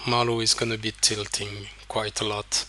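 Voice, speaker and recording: The speaker has a non-native accent and talks at a fairly slow pace with monotone, flat intonation. Noticeable background noise runs underneath. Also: man. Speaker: poker coach. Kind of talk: tutorial. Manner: hesitant, many fillers.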